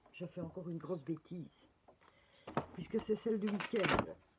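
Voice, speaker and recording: Ordinary pitch movement in a woman's somewhat breathy voice. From Belgium. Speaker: spiritual guidance presenter, card reader. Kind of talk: casual guidance video with reading aloud. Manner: hesitant, many fillers.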